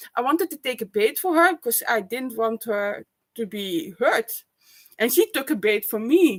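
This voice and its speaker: In a raised, projected voice, a woman speaks at a fairly slow pace, the sound dry and close with no echo. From Netherlands or Flanders. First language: Dutch. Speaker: vlogger. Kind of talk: personal vlog monologue. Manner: loud; halting.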